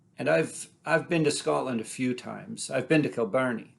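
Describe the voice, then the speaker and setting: Delivery is at a fairly slow pace against a quiet background. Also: man. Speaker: storyteller. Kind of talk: personal storytelling.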